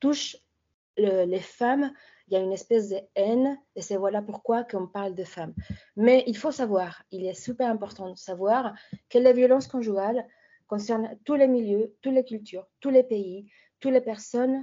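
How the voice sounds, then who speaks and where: A woman's fairly high voice with a Spanish accent, ordinary pitch variation, a moderate pace and long, frequent pauses. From Mexico. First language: Spanish (speaking French). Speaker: consultant on violence against women. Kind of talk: presentation.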